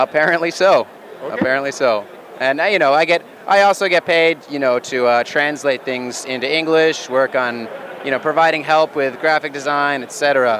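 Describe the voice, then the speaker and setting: Over noticeable background noise, a man speaks at a moderate pace with a fairly high pitch and ordinary pitch variation. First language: English (speaking German). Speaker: board game designer. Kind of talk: interview. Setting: trade fair floor.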